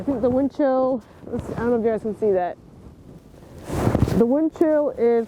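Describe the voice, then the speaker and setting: A man with an extremely high pitch and ordinary pitch variation, at a moderate pace, over noticeable background noise. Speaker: disc golf youtuber. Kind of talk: unboxing vlog. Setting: outdoors in snowy park. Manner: animated.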